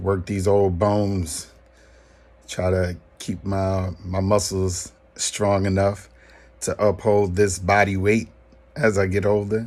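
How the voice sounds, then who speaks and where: Very slowly, a man talks in a monotone, flat intonation. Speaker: former teacher sharing fitness routine. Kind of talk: casual vlog talk. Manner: casual, hesitant with many ums.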